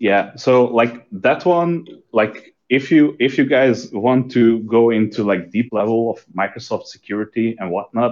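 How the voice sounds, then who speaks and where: A man with a non-native accent, at a fairly slow pace, with ordinary pitch variation. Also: medium pitch for a man, hardly any pauses. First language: not English. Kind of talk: technical casual chat. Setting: live online stream. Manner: halting, searching for words.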